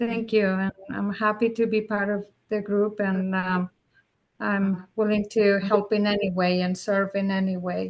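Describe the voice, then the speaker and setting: A woman talks at a medium pitch and a fairly slow pace. Her intonation is monotone and flat. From Mexico. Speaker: city commissioner. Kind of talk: meeting introduction. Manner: halting.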